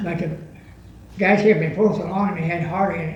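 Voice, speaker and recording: Against noticeable background noise, a man with an American accent and a high pitch talks at a very fast pace. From Tuolumne, California, USA. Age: 80s+. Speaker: US Army veteran. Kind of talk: interview answer.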